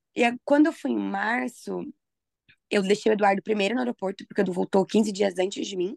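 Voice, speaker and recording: Lively intonation and vocal fry mark this fairly quick speech, which sounds dry and close with no echo. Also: woman, medium pitch for a woman. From Brazil, Mogi Mirim (São Paulo state). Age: 20s. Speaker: podcast co-host. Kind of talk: casual chat.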